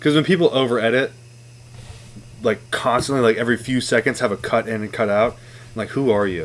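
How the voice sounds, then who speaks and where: Using a plain, everyday voice, a man talks fairly quickly at a medium pitch with ordinary pitch variation. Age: 20s. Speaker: podcast guest. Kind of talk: casual chat.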